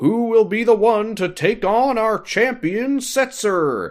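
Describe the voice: A man puts on a high-pitched character voice at a fairly slow pace. The recording is very clean, with a silent background.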